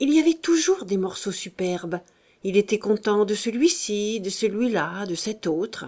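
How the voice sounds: The speaker reads with lively intonation in a natural reading voice.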